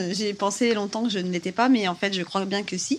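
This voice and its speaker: The pace of this woman's speech is fairly quick. Her pitch shows ordinary variation. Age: 40s. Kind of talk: casual interview. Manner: hesitant, with laughs.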